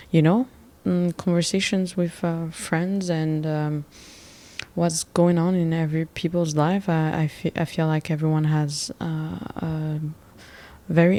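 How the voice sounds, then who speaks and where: A woman with a French accent speaks at a fairly slow pace. Her fairly low voice has a dark, mellow tone and fairly even intonation. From Gabon. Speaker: podcast host. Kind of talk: casual monologue. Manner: hesitant, many fillers.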